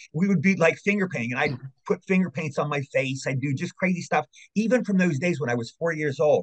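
Talking very fast in an American accent, a man sounds somewhat breathy, his pitch varying in an ordinary way. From Maryland, US. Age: 60s. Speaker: actor and voice actor. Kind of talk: casual interview chat, storytelling.

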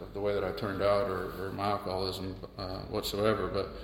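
A man with an American accent at a moderate pace, with audible room echo and noticeable background noise. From US South, Charleston, South Carolina. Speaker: recovering alcoholic sharing his story. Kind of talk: personal testimony in a casual interview. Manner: halting, many fillers and repeated words.

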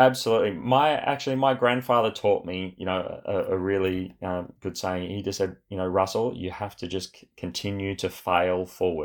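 A man's fairly low voice at a moderate pace, with ordinary pitch variation, big swings in loudness and hardly any pauses. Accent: Australian. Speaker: property developer, former Olympic athlete. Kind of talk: interview conversation. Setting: remote call.

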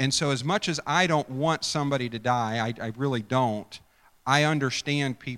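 What we hear is plain reading aloud.

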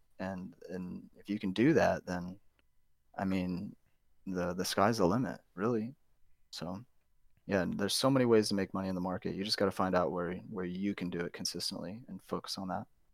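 A man with an American accent speaks fairly quickly in a very deep, low pitch and fairly even intonation. The recording is very clean, with a silent background. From US Midwest, St. Louis. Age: 30s. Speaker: day trader. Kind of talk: casual interview. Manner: many fillers and repetitions.

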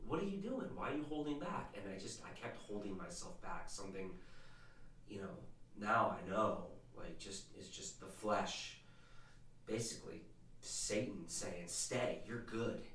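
A man talks at a fairly slow pace with long, frequent pauses and very wide pitch swings in a medium-pitched voice. Noticeable background noise and audible room echo fill the recording. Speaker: podcast host's husband, former non-believer. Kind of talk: casual faith conversation and testimony. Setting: home studio, behind the camera.

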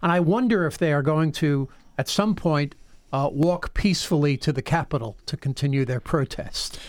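In an ordinary speaking voice, a man talks at a moderate pace with a fairly high pitch and ordinary pitch variation, recorded very cleanly over a silent background. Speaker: radio co-host. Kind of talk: talk radio show. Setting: studio.

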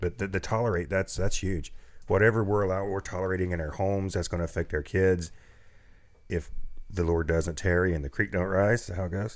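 Fairly quick, fairly level speech from a man with a very deep, low voice. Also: very clean recording, silent background. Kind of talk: casual chat. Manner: joking.

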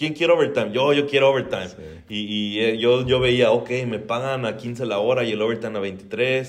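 Amid audible room echo, a man with a Mexican accent speaks at medium pitch with ordinary pitch variation. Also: moderate pace. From Mexico. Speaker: real estate investor. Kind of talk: casual interview.

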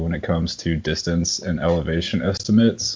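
A man speaks with a very deep, low pitch. His intonation stays fairly even. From Texas. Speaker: podcast guest. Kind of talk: casual chat. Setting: video call.

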